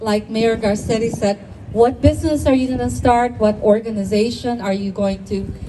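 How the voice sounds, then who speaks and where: A woman is heard with noticeable background noise. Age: 70s. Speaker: community leader. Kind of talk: ceremony speech. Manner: halting.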